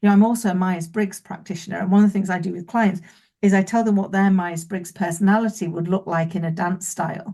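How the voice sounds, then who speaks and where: Somewhat breathy and dark, mellow in tone, a woman speaks fairly quickly at a medium pitch. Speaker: business owner, keynote speaker and author. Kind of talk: interview. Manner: fast.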